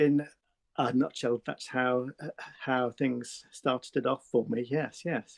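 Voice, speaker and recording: At a very slow pace, a man speaks with a southern English accent and fairly even intonation, the sound dry and close with no echo. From England. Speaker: artist. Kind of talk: interview. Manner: halting.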